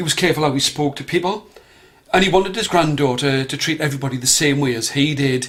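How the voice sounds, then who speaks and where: Fairly high in pitch, a man talks at a fairly quick pace with ordinary pitch variation. He has a plain, everyday voice. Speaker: storyteller. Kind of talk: storytelling for children.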